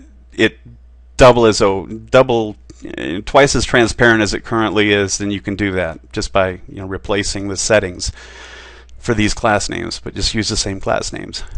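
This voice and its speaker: Over a quiet background, the voice shows vocal fry, ordinary pitch variation and big swings in loudness at a moderate pace. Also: man, fairly low pitch for a man. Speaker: website developer. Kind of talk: tutorial. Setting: studio with headphones. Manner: halting, many fillers; slight tremor.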